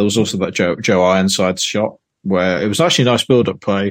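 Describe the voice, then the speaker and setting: The speaker talks at a fairly quick pace. The pitch varies in an ordinary way. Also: man. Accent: Yorkshire. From Yorkshire, England. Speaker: football podcast guest. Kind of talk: casual football chat.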